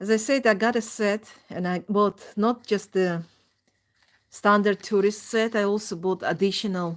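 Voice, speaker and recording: On a very clean recording with a silent background, a woman with a non-native accent speaks fairly slowly at a medium pitch with ordinary pitch variation. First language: not English. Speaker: crafts streamer. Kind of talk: casual chat. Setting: live stream. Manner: halting.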